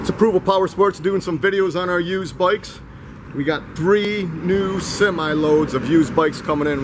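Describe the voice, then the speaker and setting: A man at a fairly quick pace, with ordinary pitch variation and noticeable background noise. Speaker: dealership salesperson. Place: street. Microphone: phone near.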